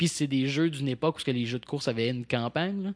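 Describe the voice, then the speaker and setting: A normal speaking voice from a man at medium pitch and a fairly quick pace, with a quiet background and a dry, close sound with no echo. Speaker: podcast host. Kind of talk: casual chat. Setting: studio.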